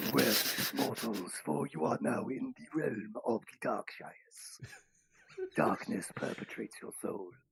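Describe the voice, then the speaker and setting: A raspy, put-on character voice. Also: man, medium pitch for a man, fairly slow pace. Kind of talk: theatrical, grandiose. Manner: dramatic, menacing.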